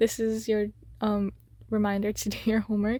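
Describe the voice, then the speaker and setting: A woman's fairly high-pitched voice with a dark, mellow tone, somewhat breathy, at a moderate pace. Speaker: YouTuber. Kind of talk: casual chat while drawing.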